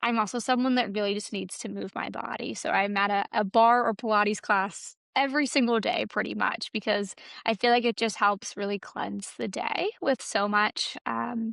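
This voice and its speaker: Over a quiet background, a woman with an American accent uses an ordinary speaking voice, fairly high in pitch with ordinary pitch variation, moving at a moderate pace with hardly any pauses in a dry, close sound with no echo. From US Mid-Atlantic (Baltimore, Maryland). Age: 20s. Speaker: social media influencer and public health advocate. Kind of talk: casual interview chat.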